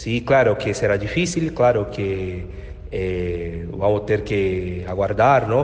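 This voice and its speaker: A man with a Portuguese accent talks very slowly with lively intonation, amid noticeable background noise and audible room echo. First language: Portuguese (speaking Spanish). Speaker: journalist and union leader. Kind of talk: interview.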